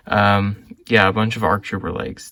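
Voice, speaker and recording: His pitch is fairly low. The man keeps to a moderate pace. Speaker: Lego reseller vlogger. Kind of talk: casual vlog unboxing. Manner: quiet; hesitant, many fillers.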